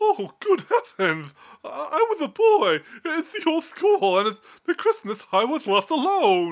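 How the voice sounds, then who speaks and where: The voice is put on as a character, with a high pitch. Its pace is fairly slow. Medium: read story. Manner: stiff, formal.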